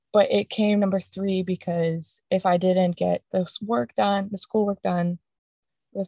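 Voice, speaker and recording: Somewhat breathy and medium in pitch, a woman's voice moves at a fairly slow pace with fairly even intonation. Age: 20s. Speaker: podcast host, recent graduate and former college athlete. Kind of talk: solo podcast monologue.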